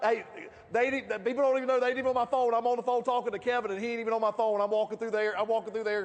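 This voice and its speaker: A loud man with a Southern US accent at an extremely high pitch, over noticeable background noise. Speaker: network marketing leader. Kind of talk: motivational speech. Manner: animated.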